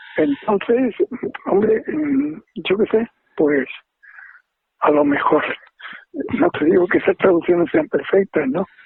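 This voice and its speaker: A man's high voice with very wide pitch swings, at a fairly slow pace with long, frequent pauses. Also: very even loudness. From Spain, Andalusia (Seville). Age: 80s+. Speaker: retired professor and haiku translator. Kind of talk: interview.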